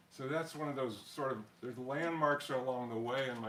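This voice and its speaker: Audible room echo around a man's voice at a medium pitch. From US, Colorado (Denver area) from childhood. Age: 70s. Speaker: pianist. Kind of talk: spoken concert introduction. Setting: home concert with small audience, streamed online. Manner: hesitant, many fillers and repetitions.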